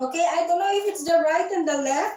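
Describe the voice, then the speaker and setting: Lively intonation from a female speaker. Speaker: fitness trainer and massage therapist. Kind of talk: online live exercise class.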